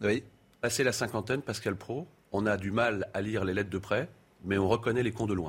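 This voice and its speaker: Somewhat breathy and fairly low in pitch, a man speaks with ordinary pitch variation. His pace is fairly quick. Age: 50s. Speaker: mayor. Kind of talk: casual chat. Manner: animated.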